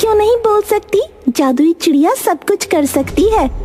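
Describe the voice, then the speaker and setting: A cartoonish character voice sounds female, with an extremely high pitch for a woman. It moves at a moderate pace over light background noise. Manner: playful, teasing.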